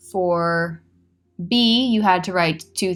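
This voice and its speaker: Over music in the background, a woman speaks at a fairly low pitch with ordinary pitch variation. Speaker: teacher. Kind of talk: tutorial.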